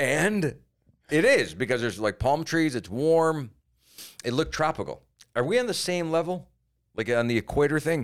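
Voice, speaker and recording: In a very clean recording with a silent background, a man with an American accent and a fairly high voice talks at a moderate pace with lively intonation and long, frequent pauses. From Cleveland, Ohio. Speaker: comedian. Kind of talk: casual chat. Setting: studio.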